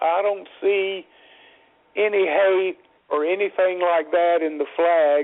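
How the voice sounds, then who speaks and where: With a Southern US accent, the speech comes at a very slow pace with fairly even intonation. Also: man. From US South. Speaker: motorsport radio show host. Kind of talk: casual talk radio chat.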